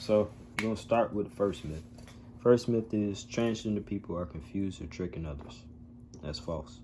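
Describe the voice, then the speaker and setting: A man is speaking at a moderate pace. Music plays in the background. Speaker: vlogger sharing transition journey. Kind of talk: casual vlog monologue.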